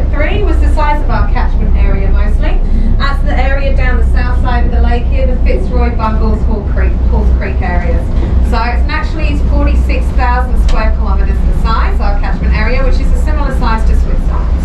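Loud background noise sits behind a woman speaking at a moderate pace. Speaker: tour guide. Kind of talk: guided tour commentary. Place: boat. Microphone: camera far.

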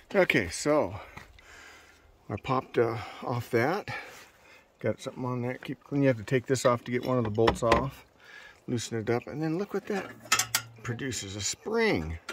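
A man speaks with long, frequent pauses. The sound is dry with no echo, over loud background noise. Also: moderate pace. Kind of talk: tutorial. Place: street. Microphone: phone near.

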